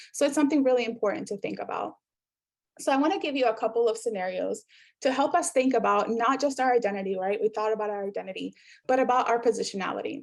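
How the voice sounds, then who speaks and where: Speaking at a very fast pace with a Spanish accent, a woman has a fairly high pitch, vocal fry and ordinary pitch variation. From South America. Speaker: workshop facilitator, professor. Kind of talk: interactive workshop presentation.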